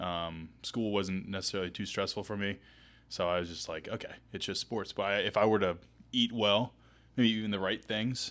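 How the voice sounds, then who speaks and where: A man's fairly low voice with an American accent, an ordinary speaking voice at a moderate pace, fairly even intonation, on a very clean recording with a silent background. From Asheville, North Carolina. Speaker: physical therapist podcast host. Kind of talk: casual chat.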